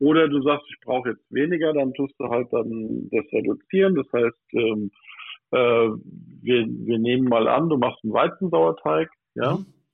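A man's medium-pitched voice with lively intonation at a fairly slow pace. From Odenwald, southern Hesse, Germany. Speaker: pastry chef. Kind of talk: casual chat. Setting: phone call. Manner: animated.

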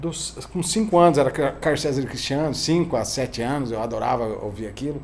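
With lively intonation and a somewhat breathy quality, a man talks at a fairly quick pace and a fairly high pitch, some room echo audible around him. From Rio Grande do Sul, southern Brazil. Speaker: singer-songwriter. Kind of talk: casual interview chat.

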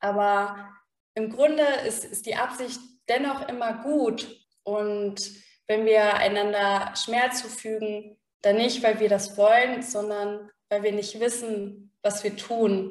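Amid audible room echo, a woman with fairly high pitch speaks at a very slow pace, her intonation fairly even. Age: 30s. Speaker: psychologist. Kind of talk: interview.

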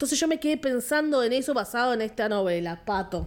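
Lively intonation marks the high-pitched voice of this woman. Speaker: film podcast co-host. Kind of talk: casual chat.

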